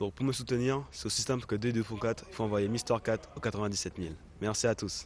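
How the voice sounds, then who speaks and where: A man speaks very fast. His pitch sits in the medium range. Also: ordinary pitch variation. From Guadeloupe, Lamentin. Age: 20s. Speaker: pageant contestant, accounting student. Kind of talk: self-introduction.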